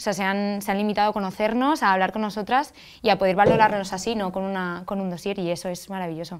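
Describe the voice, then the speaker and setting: Over a quiet background, a woman talks at a very fast pace with fairly even intonation. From Spain. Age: 20s. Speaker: festival queen; interview guest. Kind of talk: TV interview. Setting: TV studio. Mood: warm, smiling. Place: studio. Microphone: lapel.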